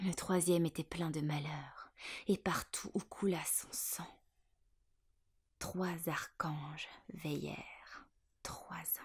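A woman whispers at a very slow pace with long, frequent pauses. Her voice is somewhat breathy and swings widely in loudness. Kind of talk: poetry reading. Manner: whispered.

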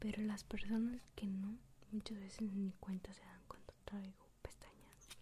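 Soft-spoken and gentle in tone, a woman whispers at a fairly slow pace over light background noise. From Mexico. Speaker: ASMR content creator. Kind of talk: whispered ASMR tutorial, intimate and close-mic, softly breathy. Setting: home recording with binaural microphone. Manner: slow, soft-spoken, gentle whisper, unhurried.

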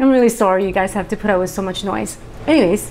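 Ordinary pitch variation from a woman. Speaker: plant vlogger. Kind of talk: casual vlog chat. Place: home room. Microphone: lapel.

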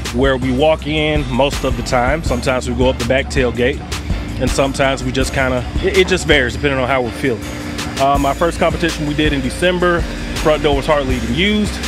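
A man's very fast delivery, dry with no echo, over clear background music. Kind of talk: casual tour walkthrough. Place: street. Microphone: phone near.

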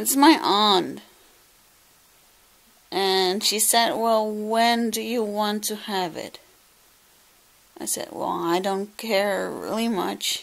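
This speaker has a Dutch accent and ordinary pitch variation. The delivery is very slow. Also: woman. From Netherlands. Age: 20s. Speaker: vlogger. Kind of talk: casual vlog talk to camera. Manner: emotional, reflective. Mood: a little emotional. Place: home room. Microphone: phone near.

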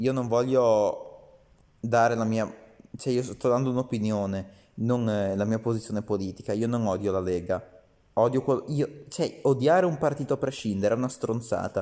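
Over a quiet background, a man speaks at a moderate pace with a medium-pitched, dark, mellow voice and ordinary pitch variation. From Italy. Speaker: video commentator. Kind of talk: angry rant, scornful political commentary aimed at Salvini. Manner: indignant, sarcastic, scolding, addressing Salvini directly. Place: home room. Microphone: phone near.

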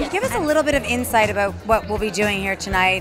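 Clear music plays in the background while a woman talks. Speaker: event host interviewer. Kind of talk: event interview. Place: hall. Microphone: handheld.

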